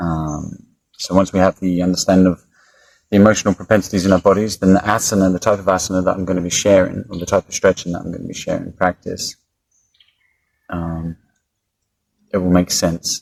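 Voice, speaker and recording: A man's very deep, low voice, monotone and flat, broken by long, frequent pauses, in a dry, close sound with no echo. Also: fairly quick pace. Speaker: yoga teacher. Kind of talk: casual instructional talk. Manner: hesitant, many fillers.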